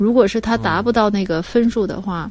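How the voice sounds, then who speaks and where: A woman talks at a fairly quick pace. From China. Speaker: parent of university student. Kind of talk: interview. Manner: hesitant, with many fillers.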